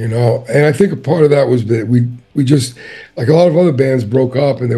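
Somewhat breathy, a man talks at a fairly quick pace over a quiet background. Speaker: interviewee. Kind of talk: interview answer. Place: home room. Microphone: webcam.

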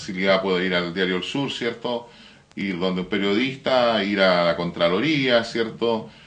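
A man speaks fairly slowly in a fairly low voice. His pitch variation is ordinary. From Biobío, Chile. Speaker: teacher and graphic designer, mayor's adviser; teacher, mayor's adviser. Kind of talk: interview; interview answer. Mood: earnest, somewhat indignant. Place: studio.

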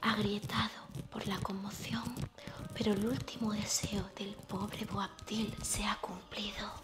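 Whispering, a woman speaks at a very slow pace. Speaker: reader of a travel narrative. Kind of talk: literary reading aloud.

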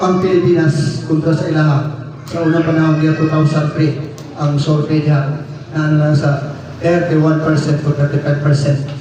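Over noticeable background noise, a man speaks slowly-ish in a fairly high, monotone, flat voice. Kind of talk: sermon. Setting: church. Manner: earnest, preacherly, rhythmic delivery with audience-directed questions.

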